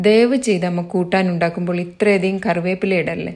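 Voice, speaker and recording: Captured in a very clean recording with a silent background, a woman uses an ordinary speaking voice at medium pitch with fairly even intonation. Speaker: blogger and writer. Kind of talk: reading aloud own blog essay.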